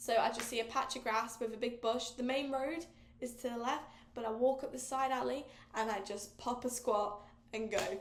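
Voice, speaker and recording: The speaker has an English accent, and there is audible room echo. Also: woman, high pitch for a woman, moderate pace. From England. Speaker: podcast host. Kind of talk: casual chat. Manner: animated.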